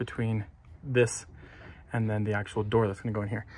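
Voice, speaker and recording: A man speaks with a somewhat breathy voice and monotone, flat intonation. Light background noise is present. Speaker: building contractor. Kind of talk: tutorial. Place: street. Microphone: phone near.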